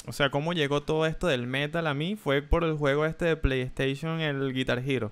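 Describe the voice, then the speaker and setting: At a moderate pace, a man with a fairly high pitch and ordinary pitch variation speaks in a plain, everyday voice. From Venezuela. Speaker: streamer and interviewer. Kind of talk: casual interview chat. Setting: live stream video call.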